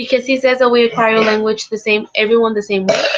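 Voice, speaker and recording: Fairly quick and fairly high-pitched, a woman talks with a Spanish accent. Her delivery is monotone and flat. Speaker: English language teaching student. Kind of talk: academic discussion. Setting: live-streamed video call. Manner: halting, many fillers.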